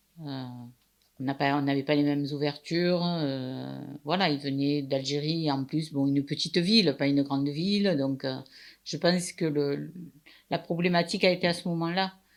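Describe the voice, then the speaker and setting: A woman's very deep, low voice at a moderate pace, with fairly even intonation and long, frequent pauses. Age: 70s. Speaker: retiree, wife of the main subject. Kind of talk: personal testimony interview.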